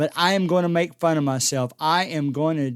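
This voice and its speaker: A man with an American accent and an ordinary speaking voice, fairly high in pitch with ordinary variation, dry and close with no echo, on a very clean recording with a silent background. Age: 60s. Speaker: podcast host, substitute teacher. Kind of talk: casual solo podcast talk.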